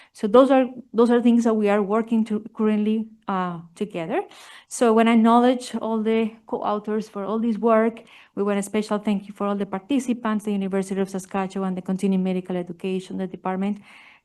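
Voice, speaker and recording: A woman with a Spanish accent speaks very fast against a quiet background. Her fairly high voice has a dark, mellow tone and fairly even intonation. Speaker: family physician researcher. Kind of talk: conference presentation.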